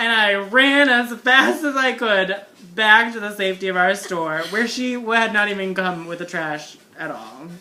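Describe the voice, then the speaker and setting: A woman speaks at a medium pitch with lively intonation and big swings in loudness. Noticeable background noise runs under her voice. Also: fairly slow pace. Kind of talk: casual storytelling. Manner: naturally campy lilt.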